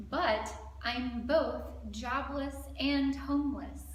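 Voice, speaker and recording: The speaker has an American accent and fairly even intonation. The room echo is audible, with noticeable noise behind the voice. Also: woman. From Alabama. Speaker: comedian. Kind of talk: casual chat.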